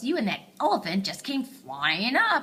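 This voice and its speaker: A woman's put-on character voice, fairly high in pitch, with very wide pitch swings at a moderate pace. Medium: read story. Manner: cross, snappish.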